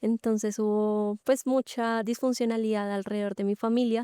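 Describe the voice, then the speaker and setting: In a very clean recording with a silent background, a woman with a fairly high, dark, mellow voice speaks at a moderate pace. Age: 20s. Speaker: church member sharing testimony. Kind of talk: testimony.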